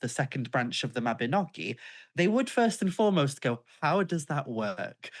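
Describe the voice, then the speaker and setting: With a North Welsh accent, a woman speaks at a moderate pace in very wide pitch swings over a quiet background. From North Wales, Isle of Anglesey. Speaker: author and pagan witch. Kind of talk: interview conversation.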